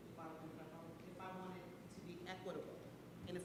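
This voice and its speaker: Noticeable noise fills the background while the words come at a moderate speed. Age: 60s. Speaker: public meeting participant. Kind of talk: public meeting discussion. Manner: animated.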